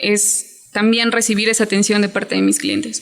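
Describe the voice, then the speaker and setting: Music plays in the background. A woman with a fairly high pitch talks at a very slow pace. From Mexico, Chiapas. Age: 20s. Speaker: hotel worker and small business owner. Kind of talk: interview.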